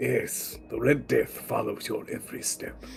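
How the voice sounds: A man puts on a raspy character voice at a moderate pace, with clear background noise behind him.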